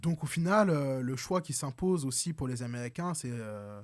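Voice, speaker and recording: On a very clean recording with a silent background, a man of medium pitch talks at a moderate pace with ordinary pitch variation. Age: 20s. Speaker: young political activist. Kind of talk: political debate. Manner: hesitant, many fillers.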